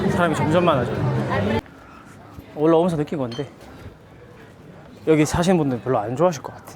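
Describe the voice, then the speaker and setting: The speech comes at a very fast pace, broken by long, frequent pauses. Crowd noise fills the background. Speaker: travel vlogger. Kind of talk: travel vlog narration. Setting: outdoors on busy streets. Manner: casual, chatty.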